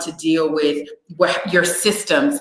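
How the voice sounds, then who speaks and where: A woman with a fairly low pitch speaks in an animated tone with lively intonation, and audible room echo is present. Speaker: livestream host and business conference organizer. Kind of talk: live stream chat. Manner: loud.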